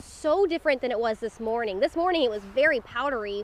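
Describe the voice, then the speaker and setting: Her intonation is lively. This woman's voice comes with noticeable background noise. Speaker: TV news anchor and reporter. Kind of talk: TV lifestyle hosting, live segment. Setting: outdoors on location. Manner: upbeat, casual.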